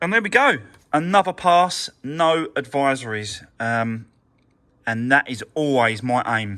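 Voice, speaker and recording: A man with a British accent speaks at a fairly slow pace. His fairly high voice has a bright, sharp tone and lively intonation. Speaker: car mechanic and vlogger. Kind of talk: workshop vlog. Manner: casual, hesitant with fillers; mumbling a little.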